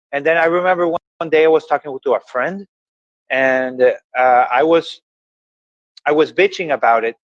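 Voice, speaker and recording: A man with an Ecuadorian accent, fairly high in pitch with ordinary pitch variation, in a dry, close sound with no echo. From Ecuador (Guayaquil). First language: Spanish. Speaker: motivational podcast host. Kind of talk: casual conversation. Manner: halting.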